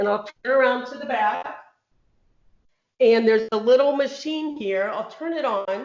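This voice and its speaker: A woman's high-pitched voice at a moderate pace, ordinary pitch variation, long and frequent pauses, and audible room echo. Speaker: cystic fibrosis patient. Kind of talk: interview.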